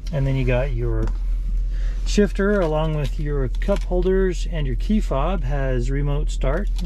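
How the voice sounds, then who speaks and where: Recorded dry with no echo and light background noise, a man speaks at a moderate pace. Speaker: car salesman. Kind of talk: vehicle walkaround tour. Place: car. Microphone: phone near.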